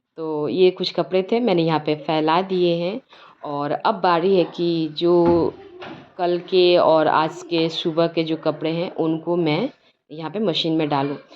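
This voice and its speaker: A woman with a fairly low pitch speaks at a very slow pace with fairly even intonation. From Bihar, India. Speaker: lifestyle vlogger. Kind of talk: vlog voice-over. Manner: casual, conversational.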